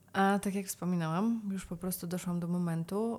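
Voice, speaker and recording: Fairly low in pitch and somewhat breathy, a woman talks at a fairly slow pace with fairly even intonation. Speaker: yoga, meditation and breathwork teacher. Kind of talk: casual interview.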